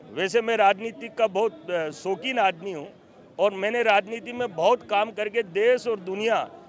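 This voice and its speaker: A man talks in a high pitch with ordinary pitch variation. Noticeable background noise runs under his voice. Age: 60s. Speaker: community leader. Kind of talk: interview. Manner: emphatic.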